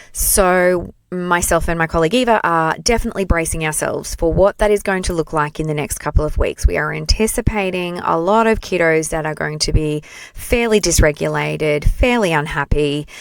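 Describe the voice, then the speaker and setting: Speaking at a fairly quick pace with hardly any pauses, a woman with a fairly low pitch and an Australian accent sounds animated, her pitch varying in an ordinary way. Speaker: play therapist and trainer. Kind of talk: solo podcast monologue.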